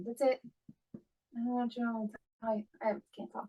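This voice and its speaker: In a strained, put-on character voice, a woman rattles along at a very fast pace with a fairly high pitch and monotone, flat intonation. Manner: strained, unable to talk easily.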